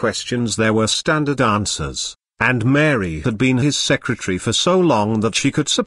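Everything around the voice is quiet. What we hear is plain reading aloud.

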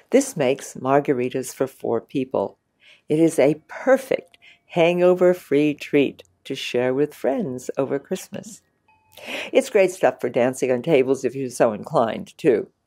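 A woman talks at a fairly slow pace in a very deep, low pitch with a dark, mellow tone. Her intonation is lively, and the background is quiet. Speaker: presenter. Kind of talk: presenter talk to camera. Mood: warm, lively, smiling. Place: studio.

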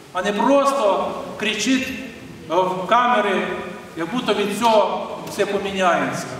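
A man amid strong room echo and light background noise. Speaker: bishop. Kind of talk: sermon. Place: church.

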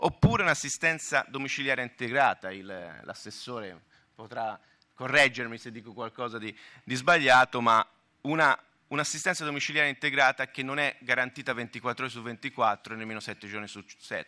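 In a Tuscan accent, a man speaks at a fairly quick pace in a bright, sharp tone, with ordinary pitch variation and big swings in loudness. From Tuscany, Italy. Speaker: health fund manager / conference speaker; conference panelist. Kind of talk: conference talk. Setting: conference hall with audience. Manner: halting, with self-corrections. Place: hall. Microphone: podium.

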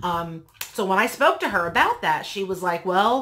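Lively intonation marks a woman's speech, delivered at a moderate pace. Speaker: vlogger. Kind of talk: casual vlog chat. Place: home room.

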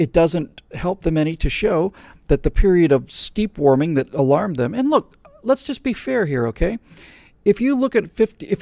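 A man with a dark, mellow tone makes very wide pitch swings. The sound is dry with no echo. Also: quiet background. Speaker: show host answering questions. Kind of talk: commentary. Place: studio. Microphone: studio mic.

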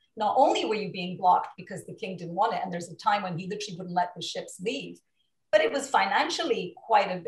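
A somewhat breathy woman speaks at a very fast pace. The background is quiet, with audible room echo. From Portugal. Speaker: film producer and attorney; attorney. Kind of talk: interview. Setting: video call. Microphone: video call.

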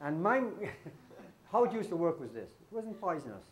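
Speaking with a Guyanese accent, a man's pitch makes very wide swings. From Guyana. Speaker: storyteller, comedian. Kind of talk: live comic storytelling on stage. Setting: live concert. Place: stage.

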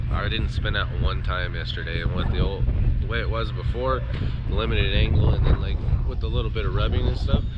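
A man speaks fairly fast, with loud noise in the background. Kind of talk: casual vlog chat. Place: open country. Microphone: phone near.

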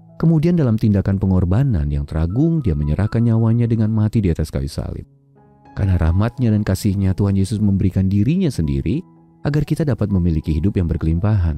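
Music plays behind a man talking at a very fast pace, his fairly low voice making very wide pitch swings in a dry sound with no echo. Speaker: devotional narrator. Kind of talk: devotional reading.

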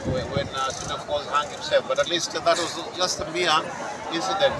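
A man is speaking with crowd noise in the background. The sound is dry, with no echo. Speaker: local politician. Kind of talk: interview answer. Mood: relaxed, smiling. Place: open country. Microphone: handheld.

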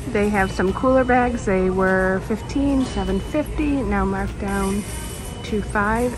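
Clear music sits in the background as a woman talks at a fairly slow pace. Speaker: shopping vlogger. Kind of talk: casual vlog chat. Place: shop. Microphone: phone near.

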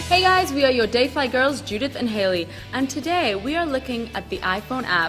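Clear music plays behind a woman speaking at a fairly quick pace. Her high voice swings very widely in pitch. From England. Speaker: food and travel presenter; TV host. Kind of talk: TV presenting. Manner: animated.

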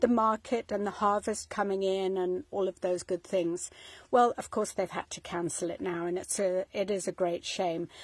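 Against a quiet background, a woman speaks at a moderate pace with fairly even intonation in a dry sound with no echo. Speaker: home vlogger. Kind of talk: casual vlog chat. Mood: warm, nostalgic. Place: home room. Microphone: phone near.

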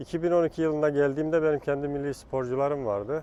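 Speaking at a fairly quick pace, a man has a fairly high pitch, ordinary pitch variation and a plain, everyday voice. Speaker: national athletics team coach. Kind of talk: interview answer.

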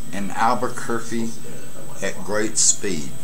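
A man speaks over light background noise. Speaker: CB radio hobbyist. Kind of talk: casual vlog chat. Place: home room. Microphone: webcam.

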